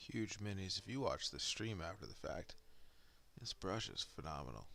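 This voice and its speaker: A soft-spoken man talks with music in the background. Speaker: miniature painting streamer. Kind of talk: casual live stream commentary. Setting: home paint desk, live stream.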